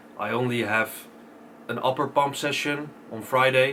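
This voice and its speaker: Fairly slow and with fairly even intonation, a man's voice comes through clearly audible background noise. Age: 20s. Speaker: bodybuilder vlogger. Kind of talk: casual vlog.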